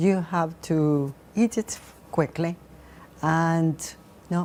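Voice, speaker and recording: A woman's dark, mellow tone at a fairly low pitch, with a Spanish accent, fairly even intonation and a very slow pace. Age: 60s. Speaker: author. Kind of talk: TV interview. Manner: halting.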